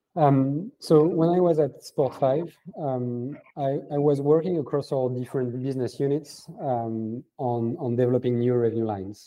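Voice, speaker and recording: Speaking with a French accent, a man uses a medium pitch, ordinary pitch variation, and a moderate pace. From France. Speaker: venture capital founder. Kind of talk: interview. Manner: halting, many fillers.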